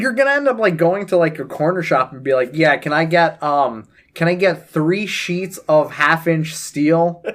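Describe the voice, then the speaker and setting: Loud, animated speech from a man with a high pitch, lively intonation, a moderate pace and hardly any pauses. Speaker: podcast co-host. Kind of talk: casual chat.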